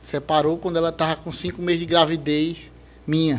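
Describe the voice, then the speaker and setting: This is a man speaking. His pitch is fairly high. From Santa Cruz do Capibaribe, Pernambuco, Brazil. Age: 30s. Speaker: podcast guest. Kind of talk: testimony.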